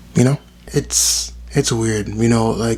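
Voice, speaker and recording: A man's voice amid noticeable background noise. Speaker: vlogger and writer. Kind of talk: casual vlog monologue. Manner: rambling, many fillers.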